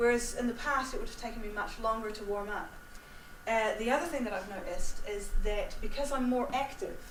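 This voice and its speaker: Over noticeable background noise and audible room echo, a woman talks at a fairly quick pace in a high voice with ordinary pitch variation. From New Zealand. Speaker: singing teacher. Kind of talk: Q&A after a talk.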